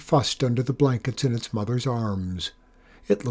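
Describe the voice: The text is read aloud plainly, with pitch moving in an ordinary manner.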